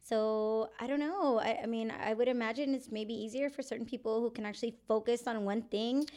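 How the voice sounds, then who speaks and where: Talking at a fairly quick pace, a woman with an American accent has a fairly high voice. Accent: Texan Chicana English. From San Antonio, Texas. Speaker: military veteran and podcaster. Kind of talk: casual chat.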